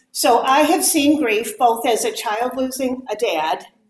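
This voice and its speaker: The speaker is loud, with an American accent. Their pitch swings very widely. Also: woman. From Michigan (Detroit). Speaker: Bible study teacher. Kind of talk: talk to a women's group. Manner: naturally loud, projecting.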